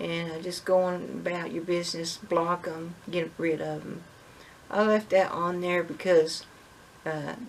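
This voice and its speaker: A woman's fairly low voice with fairly even intonation over noticeable background noise. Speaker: homestead vlogger. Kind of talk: casual monologue. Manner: halting.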